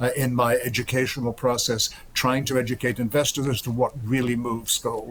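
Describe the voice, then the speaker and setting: Somewhat breathy and medium-pitched, a man talks at a fairly quick pace with monotone, flat intonation. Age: 70s. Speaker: gold market strategist. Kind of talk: TV interview.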